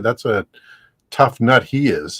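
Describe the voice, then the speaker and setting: Medium-pitched man with an Ontario accent, moderate pace and lively intonation, dry and close with no echo. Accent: Canadian (Ontario). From Canada, Ontario (Hamilton area). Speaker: ham radio YouTuber, livestream co-host. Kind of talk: casual chat on a livestream.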